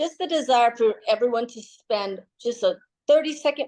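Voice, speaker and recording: Ordinary pitch variation and a moderate pace from a plain, everyday voice, set against a quiet background. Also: woman. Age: 60s. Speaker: fitness instructor. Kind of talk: fitness class instruction. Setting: video call.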